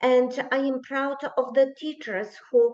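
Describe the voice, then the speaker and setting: The tone is dark and mellow, with fairly even intonation. Delivery is very slow. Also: woman. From Poland. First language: Polish. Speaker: teacher. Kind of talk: conference speech. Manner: halting, many fillers.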